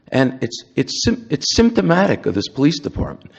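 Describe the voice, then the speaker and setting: The voice carries vocal fry and very wide pitch swings at a moderate pace. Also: man. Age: 70s. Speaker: public commenter at council meeting. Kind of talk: public comment speech. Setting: council chambers. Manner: animated.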